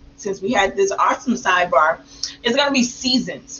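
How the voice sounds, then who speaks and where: An animated, fairly quick delivery with lively intonation amid noticeable background noise. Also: woman. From small country town. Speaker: podcast co-host, mother of eight and entrepreneur. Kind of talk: casual chat.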